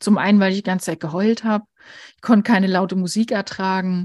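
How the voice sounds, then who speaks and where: A woman speaks at a moderate pace and a medium pitch, her tone dark, mellow and somewhat breathy. The sound is dry and close with no echo, and the background is quiet. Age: 40s. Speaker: grief counsellor and editor. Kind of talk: interview about personal grief.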